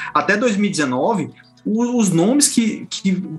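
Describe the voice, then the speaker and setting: Over music in the background, a man speaks in a high voice with lively intonation. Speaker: journalist, podcast co-host. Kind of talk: casual panel discussion.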